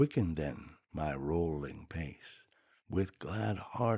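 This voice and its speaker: Lively intonation runs through a dark, mellow tone delivered at a very slow pace. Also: man. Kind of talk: poetry reading. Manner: soft-spoken, slow, gentle.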